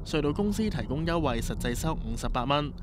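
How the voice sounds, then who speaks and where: A man at a fairly high pitch with ordinary pitch variation and a moderate pace, in audible room echo. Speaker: news reporter. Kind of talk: news report narration.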